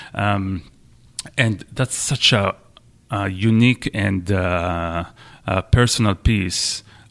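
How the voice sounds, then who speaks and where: Speaking very slowly with long, frequent pauses, a man with a fairly low voice and an Israeli accent is heard in a dry, close sound with no echo. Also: fairly even intonation. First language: Hebrew. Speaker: orchestra conductor. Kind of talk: interview.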